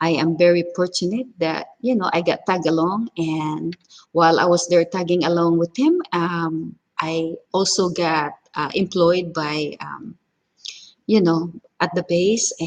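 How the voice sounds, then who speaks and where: A strong Filipino accent at a fairly slow pace with fairly even intonation. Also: woman, fairly low pitch for a woman. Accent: heavy Filipino. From Philippines, Cebu. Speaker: cooking vlogger. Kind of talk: casual live stream chat. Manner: halting, many fillers.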